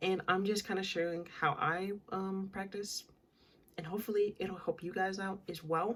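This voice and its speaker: A woman with a medium pitch speaks at a moderate pace in a monotone, flat intonation. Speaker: vlogger. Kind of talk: casual chat. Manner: casual, filler-heavy.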